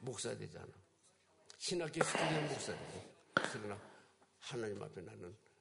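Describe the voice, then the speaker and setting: Very fast speech from a man at medium pitch. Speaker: guest pastor. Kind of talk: sermon.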